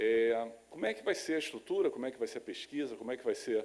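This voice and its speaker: A man speaks in a Rio de Janeiro accent. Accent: Rio de Janeiro (carioca). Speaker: lecturer on laboratory animal science. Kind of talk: lecture. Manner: halting with many fillers.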